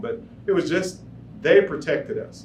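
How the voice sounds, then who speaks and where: A man speaks at a moderate pace. Noticeable background noise and audible room echo accompany him. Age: 70s. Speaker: war veteran. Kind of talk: storytelling performance. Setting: stage with audience.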